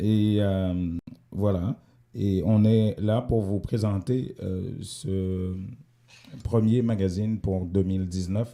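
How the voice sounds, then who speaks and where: On a very clean recording with a silent background, a man with a dark, mellow tone and fairly low pitch talks at a very slow pace with fairly even intonation and long, frequent pauses. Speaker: community radio host. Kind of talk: radio magazine show. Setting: radio studio, also streamed live. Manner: hesitant, many fillers.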